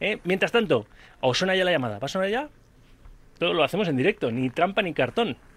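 This man talks fairly quickly in an animated tone at a high pitch, with very wide pitch swings. He leaves long, frequent pauses. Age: 40s. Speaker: sports radio host. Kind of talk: live radio sports talk.

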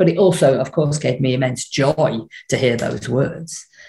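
Her voice has a dark, mellow tone with vocal fry, and this woman speaks at a moderate pace. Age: 50s. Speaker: speaker trainer. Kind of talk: casual chat.

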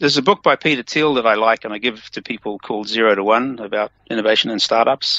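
With an American accent, this voice moves at a very fast pace with hardly any pauses. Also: man, medium pitch for a man, ordinary pitch variation. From New Zealand. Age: 60s. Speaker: tech entrepreneur and engineer. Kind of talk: interview.

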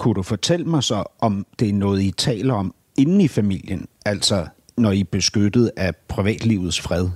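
A man speaks in a normal speaking voice, fairly low in pitch, at a fairly slow pace with ordinary pitch variation. The sound is dry and close with no echo, and the recording is very clean over a silent background. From Denmark, Copenhagen area. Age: 50s. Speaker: podcast host and interviewer. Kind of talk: interview. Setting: politician's office.

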